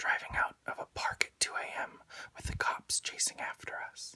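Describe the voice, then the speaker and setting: Someone whispers. The speed is moderate. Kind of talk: whispered poetry reading. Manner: whispered, soft-spoken, relaxing.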